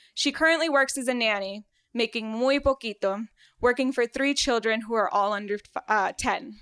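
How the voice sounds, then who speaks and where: A woman speaks at a moderate pace with a Spanish accent. The sound is dry and close with no echo, on a very clean recording over a silent background. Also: fairly high pitch for a woman, ordinary pitch variation. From Venezuela, raised in South Florida. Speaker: medical student. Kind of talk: storytelling on stage. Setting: stage with audience.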